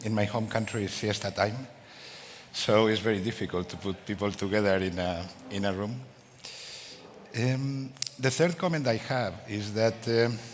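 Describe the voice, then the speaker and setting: A man with a Spanish accent speaks at a moderate pace and a fairly low pitch, with ordinary pitch variation. He leaves long, frequent pauses, and audible room echo can be heard. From Spain. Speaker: business executive. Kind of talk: conference talk.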